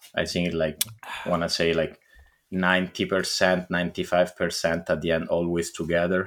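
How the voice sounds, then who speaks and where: At a moderate pace, someone speaks with an Italian accent on a very clean recording with a silent background. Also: man, very deep, low pitch for a man. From Italy. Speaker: podcast host. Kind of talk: casual chat with profanity. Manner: casual, profane, excitable.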